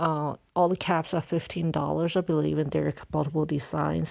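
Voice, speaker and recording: A woman speaking at a fairly slow pace, on a very clean recording with a silent background. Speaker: Pokemon collector YouTuber. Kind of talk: casual product review commentary. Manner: halting.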